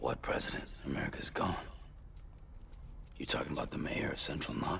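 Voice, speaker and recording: A put-on character voice at a fairly quick pace, over clear background noise. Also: man. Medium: machinima. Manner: terse, gruff.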